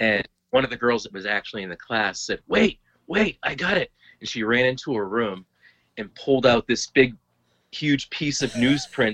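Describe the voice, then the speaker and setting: A man with an American accent talks at a moderate pace and medium pitch, in a plain, everyday voice with lively intonation. His loudness swings widely, and the sound is dry and close with no echo. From Lowell, Massachusetts. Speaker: healthcare enrollment administrator and hiker. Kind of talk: casual chat.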